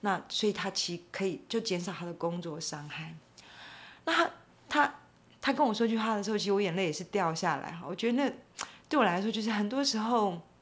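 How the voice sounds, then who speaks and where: With lively intonation, a woman talks, leaving long, frequent pauses. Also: medium pitch for a woman, fairly quick pace. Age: 50s. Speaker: animal welfare advocate. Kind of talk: interview.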